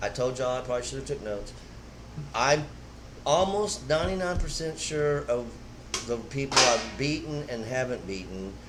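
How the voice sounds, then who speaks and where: Pausing long and often, a man with an American accent speaks at a moderate pace with lively intonation, amid noticeable background noise and audible room echo. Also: medium pitch for a man. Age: 60s. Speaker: veteran street racer. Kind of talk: casual chat.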